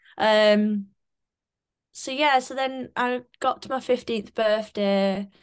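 The voice moves at a very slow pace with ordinary pitch variation against a quiet background. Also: woman. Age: 20s. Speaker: menopause awareness advocate. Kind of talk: interview. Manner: casual, many fillers.

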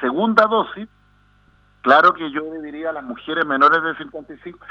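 A man's voice, fairly high in pitch. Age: 50s. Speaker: psychiatrist. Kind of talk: radio interview. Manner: halting.

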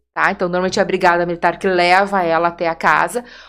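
A woman with a southern Brazilian accent is heard in a very clean recording with a silent background. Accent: gaúcho Brazilian Portuguese. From Porto Alegre, southern Brazil. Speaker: nurse and women's center coordinator. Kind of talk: podcast interview.

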